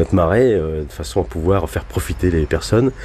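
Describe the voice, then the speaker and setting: A man talks with a very deep, low pitch. Clear background noise is present as well. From Normandy, Cotentin marshes. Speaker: river boat captain, army veteran. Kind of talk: radio interview. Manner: halting.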